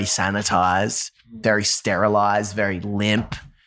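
An Australian accent in a very clean recording with a silent background. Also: man. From Australia, Newcastle. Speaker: musician, former pastor. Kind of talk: casual interview chat. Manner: energetic, animated.

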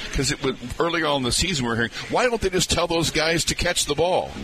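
A man speaks with very wide pitch swings. Noticeable background noise runs underneath. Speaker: radio co-host. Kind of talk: casual sports talk banter.

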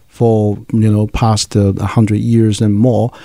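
A man speaks with a Chinese accent at a moderate pace. His tone is dark and mellow. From China, Nanjing. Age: 30s. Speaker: pharmaceutical scientist and association leader. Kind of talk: interview.

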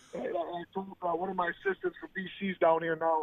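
A man talks at a fairly quick pace in a high voice with an American accent. His intonation stays monotone and flat. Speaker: assistant football coach. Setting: phone call.

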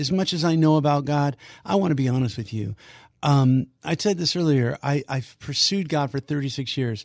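In a quiet background, a man with an unremarkable speaking voice and a fairly high pitch speaks at a moderate pace with lively intonation. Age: 60s. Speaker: ministry leader. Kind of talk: radio interview. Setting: studio.

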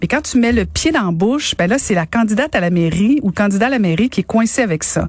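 A woman speaks in a medium pitch with lively intonation. Her voice is somewhat breathy. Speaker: radio co-host. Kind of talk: casual chat about news.

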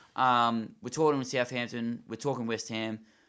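This man has an Australian accent. He talks at a fairly quick pace with a monotone, flat intonation. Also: very clean recording, silent background. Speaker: football podcast co-host. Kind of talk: casual chat.

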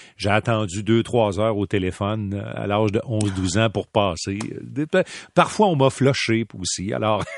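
A man's voice, fairly low in pitch, with ordinary pitch variation. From Quebec City. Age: 50s. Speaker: hockey play-by-play commentator. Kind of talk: interview. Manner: animated.

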